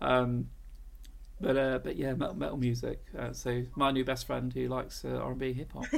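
A man speaks at a moderate pace. The room echo is audible. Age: 40s. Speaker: podcast host. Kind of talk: casual chat.

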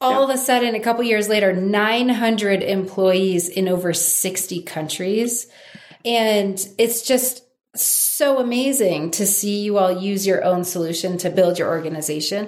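A woman with a medium pitch and ordinary pitch variation talks at a fairly slow pace. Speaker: podcast host, company CEO. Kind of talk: interview. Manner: animated.

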